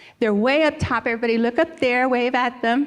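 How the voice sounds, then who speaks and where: The speaker sounds animated, going at a fairly quick pace with ordinary pitch variation. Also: woman. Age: 60s. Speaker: conference organizer. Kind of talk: welcome speech. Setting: stage with audience.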